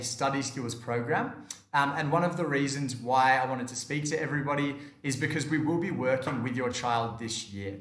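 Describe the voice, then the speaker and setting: In a room with audible echo, a man with an Australian accent talks at a moderate pace with lively intonation. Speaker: education company manager. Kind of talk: seminar presentation.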